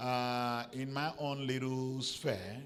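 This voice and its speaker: This man talks with the room's echo clearly audible around him. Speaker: professor. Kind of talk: panel discussion. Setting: conference with audience.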